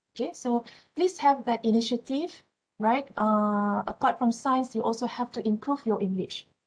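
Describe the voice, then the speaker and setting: Speaking at a moderate pace, a woman with a Malaysian accent uses a high pitch. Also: ordinary pitch variation. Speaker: university lecturer. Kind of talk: lecture. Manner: halting.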